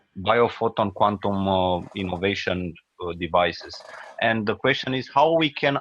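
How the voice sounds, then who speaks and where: At a moderate pace, a man with a non-native accent speaks in a fairly low pitch with ordinary pitch variation. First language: not English. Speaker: study group member asking questions. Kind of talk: Q&A question. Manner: halting, hesitant.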